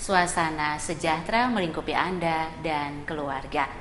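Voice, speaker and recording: A woman with a fairly low voice talks with ordinary pitch variation over noticeable background noise. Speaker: TV host. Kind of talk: TV program introduction. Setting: studio.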